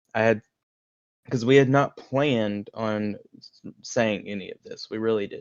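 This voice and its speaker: In a Southern US accent, a man at medium pitch speaks at a fairly slow pace, with long, frequent pauses and big swings in loudness. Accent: southern twang. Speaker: podcast co-host. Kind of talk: reading own message aloud; casual chat.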